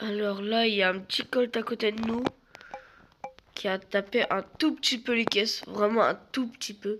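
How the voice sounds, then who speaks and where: A woman's fairly high pitch and fairly even intonation at a fairly slow pace, with long, frequent pauses and noticeable background noise. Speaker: gaming youtuber. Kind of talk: gameplay commentary.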